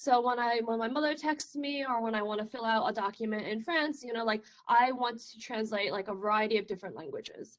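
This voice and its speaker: Speaking at a fairly quick pace with hardly any pauses, a woman with a Chinese accent uses a fairly high pitch and ordinary pitch variation. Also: big swings in loudness. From China. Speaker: research scientist. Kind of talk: conference talk. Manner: casual, filler-heavy.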